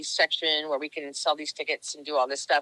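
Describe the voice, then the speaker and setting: Loud and with a very deep, low pitch, a woman speaks. The sound is dry and close, with no echo. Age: old. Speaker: nonprofit youth fitness founder. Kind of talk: casual interview. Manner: animated.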